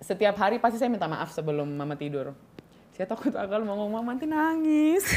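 A woman talks at a very fast pace in a fairly high pitch. Her pitch swings very widely. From Papua, Indonesia; Indonesia. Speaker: model and beauty pageant winner; podcast guest. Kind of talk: casual interview chat. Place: studio. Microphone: studio mic.

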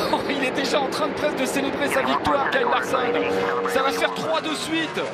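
A man projects his voice, raised and carrying, while noticeable background noise continues around him. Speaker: motorsport commentator. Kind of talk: live race commentary, French NASCAR call. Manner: breathless, exclamatory, reacting as the action unfolds.

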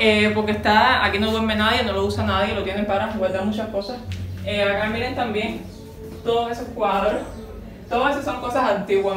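A woman at a fairly quick pace, with audible room echo and clear music in the background. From Cuba. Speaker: vlogger. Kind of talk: casual house tour to camera. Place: home room.

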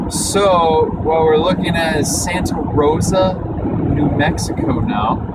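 A man's voice sounds dry with no echo, against loud background noise. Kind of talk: casual vlog chat. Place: car.

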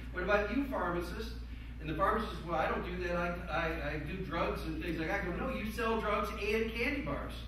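The speech moves at a fairly quick pace, with noticeable background noise and strong room echo. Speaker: panelist. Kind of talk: panel discussion. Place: meeting room. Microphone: camera far.

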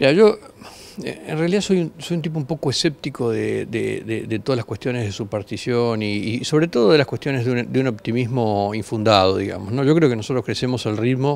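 Talking at a fairly quick pace, a man uses a medium pitch with ordinary pitch variation. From Argentina. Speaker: agribusiness company founder. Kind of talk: interview. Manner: halting, repeats words. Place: hall. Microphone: handheld.

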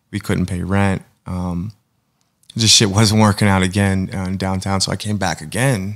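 A man speaks at a moderate pace in a fairly low pitch with monotone, flat intonation against a quiet background. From Pittsburgh area, Pennsylvania; Pennsylvania. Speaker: painter; podcast guest. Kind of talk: casual interview. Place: studio.

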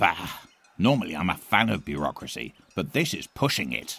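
A man's put-on character voice, raspy and very deep, with very wide pitch swings at a moderate pace. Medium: cartoon. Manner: haughty, pompous.

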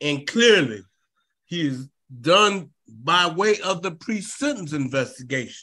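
A man's high-pitched, bright, sharp voice at a very slow pace, with very wide pitch swings, against a quiet background. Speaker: defense attorney. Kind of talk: court argument. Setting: video call. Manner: halting, repeats words. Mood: earnest, persuasive. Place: home room. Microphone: video call.

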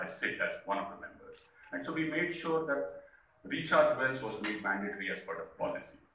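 The speech moves at a fairly quick pace. Some room echo can be heard. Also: man. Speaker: speaker. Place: hall.

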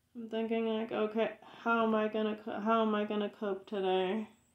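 Audible room echo surrounds a woman who speaks at a moderate pace with a fairly high pitch. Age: 30s. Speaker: video blogger. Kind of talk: personal rant to camera. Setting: home video recording. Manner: halting, repetitive. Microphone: phone near.

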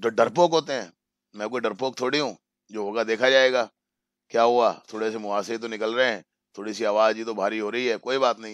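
A man speaks at a moderate pace with fairly even intonation and big swings in loudness, in a dry sound with no echo and a quiet background. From India. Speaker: English teacher. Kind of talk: lecture. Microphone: video call.

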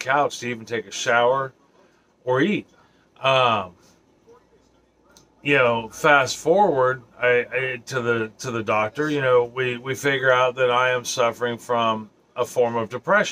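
Speaking at a moderate pace, a man keeps his intonation fairly level. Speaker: vlogger. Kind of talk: casual vlog chat. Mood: serious, reflective. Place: home room.

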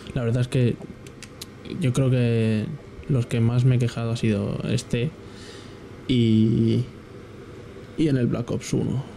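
A man at medium pitch speaks very slowly with long, frequent pauses, very even loudness and fairly even intonation. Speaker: gaming youtuber. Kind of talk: live gameplay commentary. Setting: home at night. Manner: quieter than usual; hesitant, filler-heavy.

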